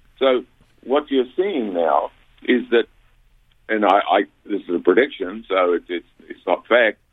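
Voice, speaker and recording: A man with a New Zealand accent, a fairly slow pace, and long, frequent pauses. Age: 70s. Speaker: orchid hybridizer and grower. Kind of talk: radio interview. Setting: radio studio. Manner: halting, many false starts.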